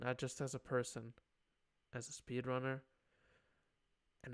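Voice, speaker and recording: This man talks in a medium pitch, keeping a moderate pace. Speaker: streamer. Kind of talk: personal video journal. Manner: loud; halting, emotional.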